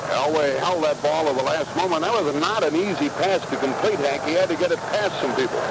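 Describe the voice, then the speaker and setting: Hardly pausing, the speech moves at a fairly quick pace with ordinary pitch variation and very even loudness over noticeable background noise. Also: man, fairly high pitch for a man. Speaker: radio play-by-play announcer. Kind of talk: live sports radio play-by-play. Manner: fast, excited.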